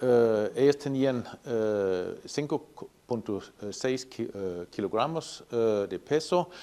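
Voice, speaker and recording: A man with a non-native accent speaks at a medium pitch. His tone is dark and mellow, and his intonation is lively. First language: not Spanish (speaking Spanish). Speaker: animal science professor. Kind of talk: technical presentation. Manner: halting, many fillers.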